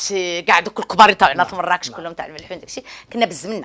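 A bright, sharp tone from a woman at fairly low pitch, with fairly even intonation. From Morocco. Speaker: academic researcher and literary salon host; literary salon host. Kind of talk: interview. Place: home room.

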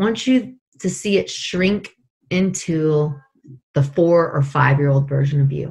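Lively intonation marks this fairly slow delivery in an American accent. The background is quiet. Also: woman, very deep, low pitch for a woman. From Northern California. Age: 40s. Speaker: life coach. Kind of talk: guided meditation; interview. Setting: call. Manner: animated. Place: home room. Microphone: video call.

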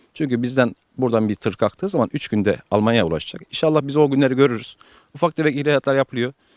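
Very fast speech from a man, fairly high in pitch, with ordinary pitch variation and a dry, close sound free of echo. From Turkey, Alanya. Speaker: avocado nursery owner. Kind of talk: interview. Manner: hesitant with many fillers.

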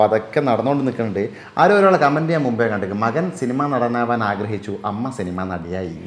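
There is noticeable background noise as a man talks at a medium pitch with lively intonation. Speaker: video creator and actor. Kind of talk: interview.

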